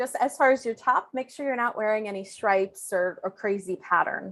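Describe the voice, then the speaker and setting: Speaking at a moderate pace, a woman has a plain, everyday voice with ordinary pitch variation. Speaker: IT assistant director and presenter. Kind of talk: webinar presentation. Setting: video call.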